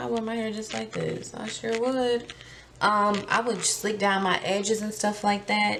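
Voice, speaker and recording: With audible room echo, a woman speaks in a medium pitch at a moderate pace. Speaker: beauty vlogger. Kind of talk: casual vlog. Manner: hesitant, many fillers.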